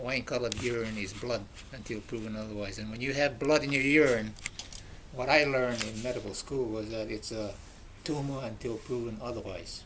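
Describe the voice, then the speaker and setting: A man speaking at a moderate pace with fairly even intonation, noticeable background noise behind him. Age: 80s+. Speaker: retired surgeon, cancer survivor. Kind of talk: testimony. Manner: halting.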